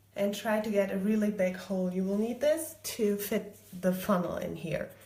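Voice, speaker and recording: The speaker holds a moderate pace. Audible room echo and noticeable background noise are present. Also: woman. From Germany. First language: German. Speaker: DIY crafter. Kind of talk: live tutorial. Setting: home kitchen.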